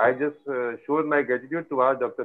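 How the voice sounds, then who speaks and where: A man with an Indian accent speaks in a fairly high voice with ordinary pitch variation against a quiet background. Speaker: physiotherapist and event organizer. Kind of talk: formal welcome address. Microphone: video call.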